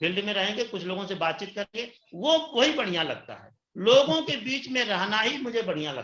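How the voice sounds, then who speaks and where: Here a man talks with lively intonation. His pitch is high. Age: 60s. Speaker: retiree turned direct-selling distributor. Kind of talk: interview testimony. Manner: animated.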